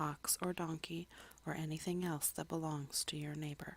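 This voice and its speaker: A soft-spoken woman talks at a moderate pace. Her pitch is very deep and low, and her intonation stays monotone and flat. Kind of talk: Bible reading / ASMR. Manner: soft-spoken, relaxing.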